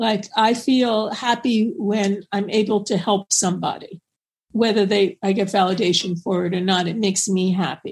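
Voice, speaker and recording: At a moderate pace, a woman speaks with fairly even intonation. Her voice is somewhat breathy. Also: medium pitch for a woman. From New York. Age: 70s. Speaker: psychotherapist and author. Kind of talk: interview.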